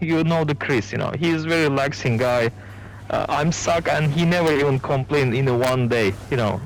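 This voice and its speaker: Over music in the background, a man with a non-native accent speaks at a moderate pace in a fairly high pitch, with ordinary pitch variation and very even loudness. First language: not English. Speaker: gamer. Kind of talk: casual chat. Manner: halting.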